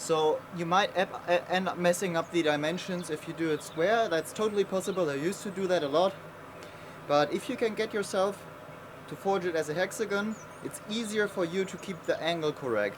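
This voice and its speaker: Against noticeable background noise, a man with a high pitch and a non-native accent speaks at a fairly quick pace with ordinary pitch variation. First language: not English. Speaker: blacksmith. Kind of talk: tutorial. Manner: casual with fillers.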